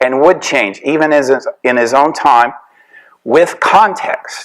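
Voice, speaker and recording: A man with an American accent speaks at a fairly slow pace in a fairly high voice, his intonation lively. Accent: Tennessee accent, hidden in lectures. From US South, Tennessee. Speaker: professor. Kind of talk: lecture. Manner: conversational, casual.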